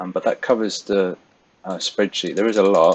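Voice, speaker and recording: A man talks with a London accent. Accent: British, London-area. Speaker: forex trader. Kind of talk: tutorial. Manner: casual, with many fillers.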